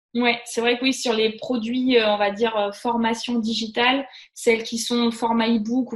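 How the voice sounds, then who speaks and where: The woman's voice sits fairly high and her intonation is flat and monotone. Background noise is noticeable. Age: 30s. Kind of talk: casual chat.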